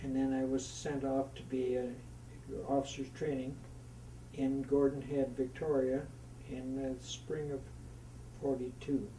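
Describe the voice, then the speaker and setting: Audible room echo surrounds a man speaking at a medium pitch and a fairly slow pace. His intonation is monotone and flat, with long, frequent pauses. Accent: Canadian. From Canadian Prairies, Saskatchewan. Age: 80s+. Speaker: war veteran. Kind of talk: oral history interview. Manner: halting.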